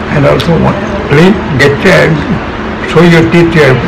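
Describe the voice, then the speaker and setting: Loud noise runs behind a man who speaks at a medium pace. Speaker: dental patient. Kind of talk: interview answer giving advice. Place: office. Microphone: phone near.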